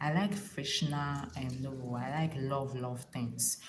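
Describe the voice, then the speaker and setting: A woman with a Ghanaian accent, with audible room echo. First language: Ga. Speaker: relationship advice vlogger. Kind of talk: casual livestream talk. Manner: animated; halting.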